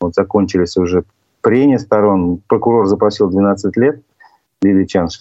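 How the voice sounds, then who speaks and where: The man's voice is fairly low in pitch and shows ordinary pitch variation. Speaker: talk show host. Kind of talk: interview. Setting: video call.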